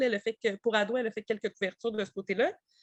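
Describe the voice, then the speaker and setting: A woman with a Quebec accent speaks very fast in a fairly high voice, with a dry, close sound and no echo. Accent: Québécois French. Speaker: publisher representative. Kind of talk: book presentation. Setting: webinar. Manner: hesitant, many fillers.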